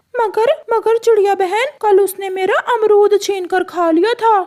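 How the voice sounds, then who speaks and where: This cartoonish character voice sits at an extremely high pitch. It moves at a moderate pace. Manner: blunt.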